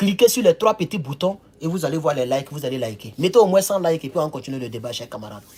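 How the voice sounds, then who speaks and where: The recording of this man is very clean, with a silent background. He sounds animated, moves at a fairly quick pace and makes very wide pitch swings. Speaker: political commentator livestreamer. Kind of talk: livestream commentary. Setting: indoors near a window facing the road.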